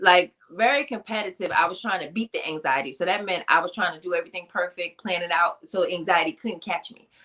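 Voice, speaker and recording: A woman with a New York accent, very fast, hardly any pauses, big swings in loudness. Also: medium pitch for a woman, ordinary pitch variation. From Queens, New York. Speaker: author and motivational speaker. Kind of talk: interview.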